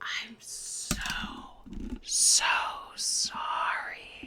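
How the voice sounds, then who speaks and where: A whispered, put-on character voice. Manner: faint whisper.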